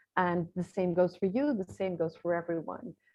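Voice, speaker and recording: A woman with a Dutch accent and medium pitch. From Netherlands. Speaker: visibility strategist and author. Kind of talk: interview.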